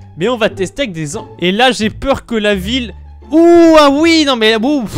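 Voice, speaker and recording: Someone speaks at a fairly slow pace with music in the background. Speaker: Minecraft video creator. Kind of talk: casual talk to camera. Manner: stammering, many restarts.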